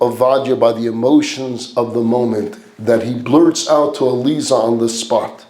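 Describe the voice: The speaker is doing plain reading aloud. The pitch moves in an ordinary way.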